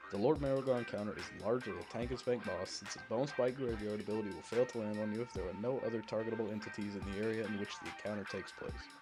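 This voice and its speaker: Mumbling at a very fast pace, a man with a medium pitch and ordinary pitch variation talks over music in the background. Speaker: gaming guide narrator. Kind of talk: game tutorial voice-over. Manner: a little mumbly.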